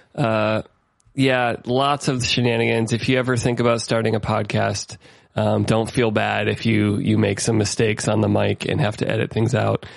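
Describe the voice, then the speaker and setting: Speaking with a Midwestern accent, a man keeps his loudness very even. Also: moderate pace. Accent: General American (Midwest). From US Midwest (Ohio). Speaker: podcast host, musician. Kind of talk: casual chat. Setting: remote call recording.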